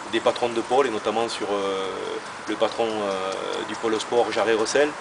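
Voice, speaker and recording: Over music in the background, a man with a medium pitch speaks at a fairly slow pace amid audible room echo. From southern France, Béziers (Hérault). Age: 40s. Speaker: rugby club director, former rugby player. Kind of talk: interview. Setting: outdoors at a stadium. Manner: hesitant, many fillers.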